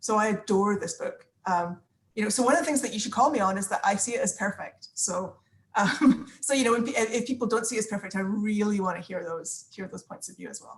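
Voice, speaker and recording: Somewhat breathy and fairly high, a woman speaks at a fairly quick pace with big swings in loudness and ordinary pitch variation. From Scotland. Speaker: book club participant, former parliamentary adviser. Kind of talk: casual group video chat introduction. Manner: hesitant, many fillers and repetitions.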